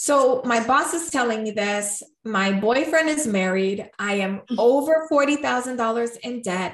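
A woman with a fairly high pitch uses an ordinary speaking voice. Her intonation is lively and her pace fairly slow. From New York, Puerto Rican family. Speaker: coach and speaker. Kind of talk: interview.

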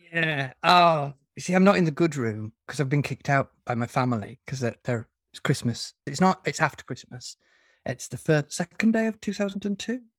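A man with a northern English accent speaks at a moderate pace, fairly high in pitch and somewhat breathy, with lively intonation. The recording is very clean, with a silent background and a dry, close sound with no echo. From northern England. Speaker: fantasy author. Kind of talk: casual interview chat.

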